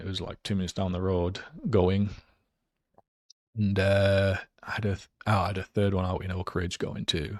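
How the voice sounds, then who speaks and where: With a Geordie accent, a man talks at a fairly quick pace and a fairly low pitch. His long, frequent pauses fall in a very clean recording with a silent background. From northern England, Newcastle area. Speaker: real estate investor. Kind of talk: interview.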